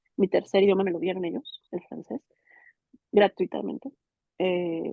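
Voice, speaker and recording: A woman at a fairly slow pace, with big swings in loudness. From Mexico. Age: 30s. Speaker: migrant interviewee. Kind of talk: interview testimony. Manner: halting, many repetitions and fillers.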